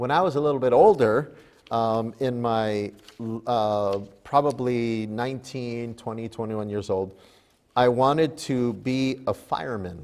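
With ordinary pitch variation, a man is talking. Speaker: pastor. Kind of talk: sermon. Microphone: lapel.

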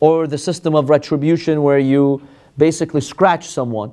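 A man is speaking. Behind him, the background is quiet. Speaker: religious teacher. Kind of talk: lecture. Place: classroom. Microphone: lapel.

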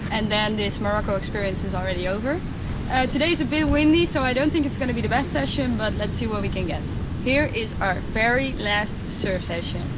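A woman at a fairly quick pace, the sound dry with no echo, amid loud background noise. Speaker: travel vlogger. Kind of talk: casual vlog chat. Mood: cheerful, a bit wistful. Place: beach. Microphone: phone near.

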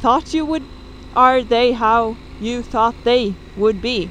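A woman speaks at a fairly slow pace over light background noise. The sound is dry with no echo. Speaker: motorcycle travel vlogger. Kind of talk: casual vlog chat. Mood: relaxed, content. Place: motorbike. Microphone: helmet.

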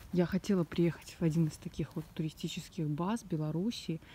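A woman's somewhat breathy voice has a fairly low pitch and a dark, mellow tone, with a dry sound and no echo. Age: 20s. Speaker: vlogger. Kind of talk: walking vlog tour. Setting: outdoors. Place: forest. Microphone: phone near.

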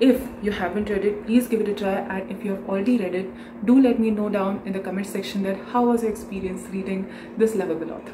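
A woman talks at a very fast pace with fairly even intonation. Background noise is noticeable. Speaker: book vlogger. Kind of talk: casual vlog chat. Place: home room. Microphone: phone near.

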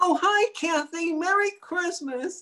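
A woman uses a put-on character voice that is squeaky and extremely high in pitch. She talks at a fairly slow pace with ordinary pitch variation. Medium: comedy sketch. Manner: chirpy, cheeky.

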